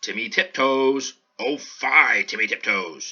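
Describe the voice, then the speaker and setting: A man puts on a character voice at a medium pitch. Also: fairly slow pace. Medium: read story.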